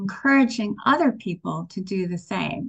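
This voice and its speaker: Against a quiet background, a woman speaks in a somewhat breathy voice at medium pitch with ordinary pitch variation. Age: 60s. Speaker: spiritual teacher. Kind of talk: sermon.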